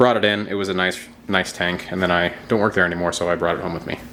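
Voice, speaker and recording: Over noticeable background noise, a man with a very deep, low pitch speaks very fast. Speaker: aquarium and reptile hobbyist youtuber. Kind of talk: casual video tour. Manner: loud; casual, filler-heavy.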